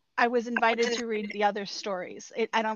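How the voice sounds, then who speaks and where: This woman's fairly high voice moves along at a moderate pace. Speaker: podcast co-host. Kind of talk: casual chat. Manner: halting.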